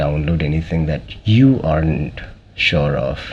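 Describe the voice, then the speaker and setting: His pitch swings very widely at a fairly slow pace. The man's voice has audible room echo. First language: not English. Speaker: cybersecurity expert. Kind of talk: interview. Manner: hesitant with fillers.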